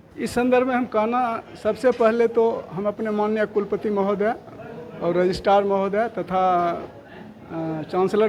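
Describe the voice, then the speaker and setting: Intonation stays fairly even as the man talks with a high pitch. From Bihar, Begusarai. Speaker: college principal, professor. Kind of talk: press interview. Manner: loud.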